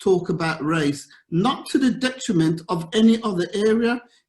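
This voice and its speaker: With a slight Birmingham accent, a man speaks at a high pitch and lively intonation. His pace is moderate. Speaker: governance consultant. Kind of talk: conference talk. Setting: virtual event.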